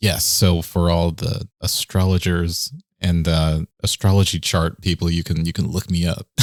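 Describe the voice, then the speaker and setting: A man with an American accent speaks at a moderate pace with fairly even intonation and a very deep, low pitch. The recording is very clean with a silent background and a dry, close sound with no echo. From Texas, Dallas. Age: 30s. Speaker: electronic music producer. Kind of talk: casual interview.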